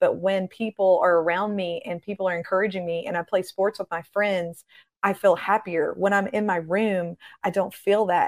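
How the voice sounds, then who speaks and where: A woman speaks at a moderate pace and medium pitch with ordinary pitch variation and an animated, warm tone. The recording is very clean, with a silent background and a dry, close sound with no echo. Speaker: prophetic minister and author. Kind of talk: fervent prayer, declaring judgment and blessing over youth. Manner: passionate, emphatic, rising and commanding with pulpit-style repetition; animated and warm, friendly.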